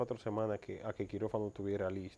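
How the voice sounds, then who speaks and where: A man speaks with a dark, mellow tone. His voice is fairly low. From Dominican Republic, Mao. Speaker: cancer survivor. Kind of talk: interview testimony.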